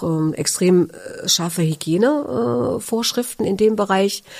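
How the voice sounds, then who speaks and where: A woman with a fairly low pitch speaks with lively intonation. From Thuringia, near Magdala. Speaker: retail cooperative executive, former shop assistant. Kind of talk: interview testimony. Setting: studio. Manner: hesitant, many fillers.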